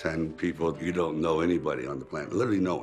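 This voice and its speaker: A man's very deep, low voice at a fairly quick pace over faint background music. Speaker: actor recalling his past. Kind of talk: interview answer. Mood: reflective, recalling hard times. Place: home room. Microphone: lapel.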